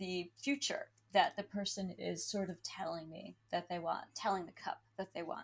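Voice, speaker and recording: A woman with an American accent speaks at a medium pitch and moderate pace. Her voice is somewhat breathy. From Pennsylvania, US. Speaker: tea leaf reader and diviner. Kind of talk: interview.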